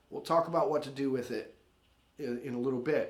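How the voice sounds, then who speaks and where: With audible room echo around him, a man delivers his words at a fairly quick pace. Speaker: guitar teacher. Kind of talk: tutorial. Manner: casual.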